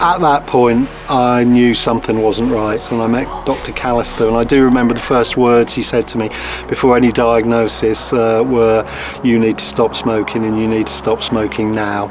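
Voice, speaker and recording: A man at a medium pitch and moderate pace, fairly even in intonation, with music in the background. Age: 50s. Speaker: deputy head teacher, cancer patient. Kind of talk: testimony.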